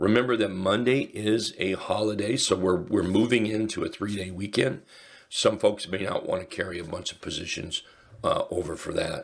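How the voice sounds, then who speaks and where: Putting on a character voice, a man speaks raspily at a moderate pace in a fairly low pitch, his loudness swinging widely. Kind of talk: casual, conversational.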